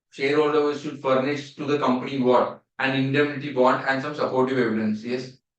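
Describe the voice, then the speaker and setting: A man with an Indian accent at medium pitch, fairly quick and with hardly any pauses, in a monotone, flat intonation. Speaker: CA exam teacher. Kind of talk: revision lecture. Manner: repetitive, questioning.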